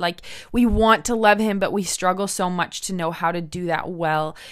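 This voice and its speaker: With an American accent and an unremarkable speaking voice, a woman talks at medium pitch and a moderate pace over a very clean recording with a silent background. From United States. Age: 20s. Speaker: podcast host, missionary. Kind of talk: faith-based podcast monologue.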